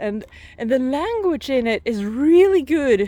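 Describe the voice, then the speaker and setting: Very slow, lively intonation from a woman with a non-native accent. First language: not English. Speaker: vlogger. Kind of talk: casual vlog monologue. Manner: halting, many repeated words.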